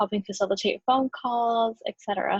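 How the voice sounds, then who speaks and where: Her voice is somewhat breathy, with fairly even intonation. The woman speaks at a fairly quick pace. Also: dry, close sound with no echo. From US Mexican-American community. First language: Spanish. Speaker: graduate student. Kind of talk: class presentation. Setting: recorded video.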